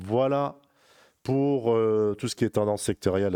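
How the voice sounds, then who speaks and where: A man's dark, mellow tone sounds dry and close with no echo in a very clean recording with a silent background. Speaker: crypto trading youtuber. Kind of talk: market analysis tutorial. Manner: halting, many fillers.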